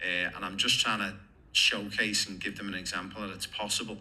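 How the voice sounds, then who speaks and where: This man talks at a fairly quick pace in a fairly low pitch with an English accent. His tone is bright and sharp, and his intonation stays monotone and flat. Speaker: football coach and player agent. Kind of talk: interview.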